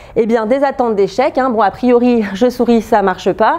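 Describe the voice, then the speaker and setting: Noticeable background noise accompanies a voice whose pitch varies in an ordinary way. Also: woman. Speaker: researcher presenting at a lab seminar. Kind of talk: academic seminar talk. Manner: fast; hesitant fillers, repeated euh.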